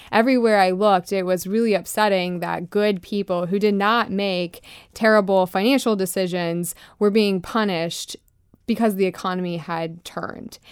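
A woman with an American accent, a plain, everyday voice, medium pitch, fairly even intonation and a moderate pace. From US South, Florida (Lakeland). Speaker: trade association founder. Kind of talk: radio interview.

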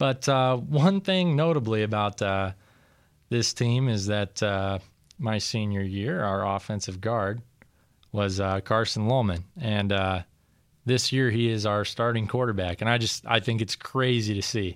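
Speaking at a fairly slow pace, a man has a fairly low voice with ordinary pitch variation. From Iowa, Storm Lake. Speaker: college radio host and football player. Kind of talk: casual radio show. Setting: radio studio.

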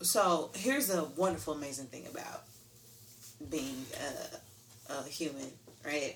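Pauses are long and frequent. The delivery itself moves at a moderate speed. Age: 30s. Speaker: music artist and fruit vendor. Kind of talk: casual chat.

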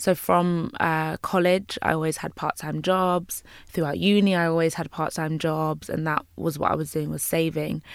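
A woman with a London accent and a very deep, low voice, at a moderate pace with hardly any pauses, fairly even intonation, and a very clean recording against a silent background. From London, Jamaican heritage. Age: 20s. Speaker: YouTuber and interior designer. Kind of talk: interview.

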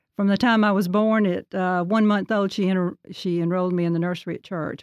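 Heard with a dry, close sound with no echo, a woman talks at a fairly quick pace with ordinary pitch variation. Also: very clean recording, silent background. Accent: Alabama. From Alabama (Birmingham area). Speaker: church choir member. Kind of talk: casual interview.

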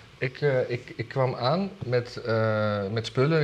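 A male speaker is heard with noticeable background noise around him. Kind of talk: casual chat about weekly news.

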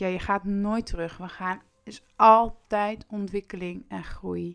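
The recording is very clean with a silent background. A woman's voice is heard. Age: 20s. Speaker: personal development coach. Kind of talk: podcast monologue.

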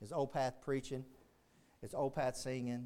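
In a Texan accent, a man speaks at a very slow pace. His voice is medium in pitch with a dark, mellow tone. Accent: Texan Southern US. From Texas. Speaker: Baptist pastor. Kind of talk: sermon. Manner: animated, fervent preaching, punchy repetition, rising intensity; emphatic, pulpit-style call to the altar.

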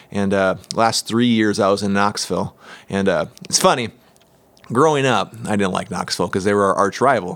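With an American accent and an ordinary speaking voice, a man speaks at a moderate pace, fairly low in pitch, with ordinary pitch variation. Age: 30s. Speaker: church ministry guest. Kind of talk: casual interview.

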